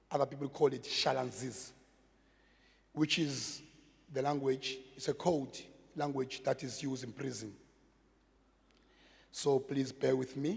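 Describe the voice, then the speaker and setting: Somewhat breathy and fairly high-pitched, a man speaks slowly in a South African accent with fairly even intonation. He takes long, frequent pauses at a fairly slow pace. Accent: South African (Xhosa) English. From South Africa, Cape Town (Gugulethu). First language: Xhosa. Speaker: community project manager, former gangster. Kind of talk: public talk. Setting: stage with audience.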